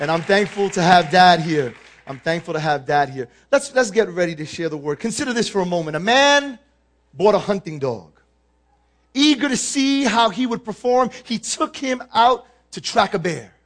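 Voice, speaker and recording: Very wide pitch swings from a man with a New York accent, high in pitch, at a moderate pace. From New York, the Bronx. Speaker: guest preacher. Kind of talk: sermon. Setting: church.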